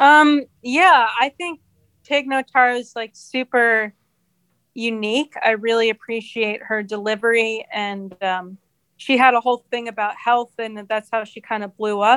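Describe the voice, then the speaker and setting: A woman with an unremarkable speaking voice and fairly high pitch talks at a fairly slow pace, her loudness swinging widely, in a dry, close sound with no echo. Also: ordinary pitch variation. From New Jersey, near New York City. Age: 30s. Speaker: comedian. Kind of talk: casual chat.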